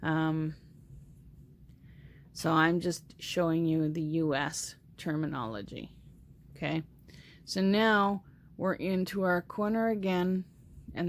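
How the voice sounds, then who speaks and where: A woman's fairly low voice with ordinary pitch variation and long, frequent pauses. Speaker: crochet tutorial host. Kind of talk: tutorial. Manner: slow.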